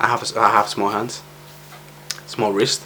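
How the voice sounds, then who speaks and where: Male speech at a moderate tempo, with noticeable noise behind it. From Spain. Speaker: vlogger. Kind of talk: personal vlog monologue. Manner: halting.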